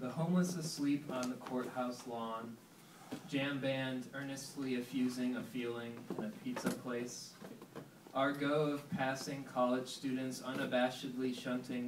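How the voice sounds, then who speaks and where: Over noticeable background noise, a man talks at a fairly slow pace. His intonation stays fairly even. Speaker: poet. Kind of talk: poetry reading. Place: shop. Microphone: camera far.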